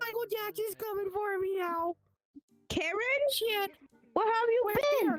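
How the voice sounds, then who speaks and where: This is a put-on character voice with an extremely high pitch. It moves at a moderate pace with long, frequent pauses. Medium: stage play. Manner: loud, crude, manic.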